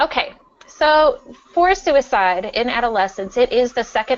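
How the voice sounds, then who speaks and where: Lively in intonation, a woman with an unremarkable speaking voice talks at a moderate pace. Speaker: school psychologist. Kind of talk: webinar presentation. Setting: webinar.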